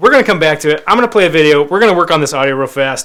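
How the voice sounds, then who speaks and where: With lively intonation, a man speaks at a fairly high pitch in a bright, sharp and energetic tone. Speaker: magazine editor and live show host. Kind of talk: live web show interview. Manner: loud.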